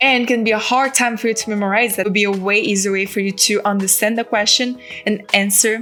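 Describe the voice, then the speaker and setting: A woman with a non-native accent speaks with fairly even intonation over noticeable background noise. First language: not English. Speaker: aspiring real estate agent, vlogger. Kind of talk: vlog tutorial. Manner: casual, conversational.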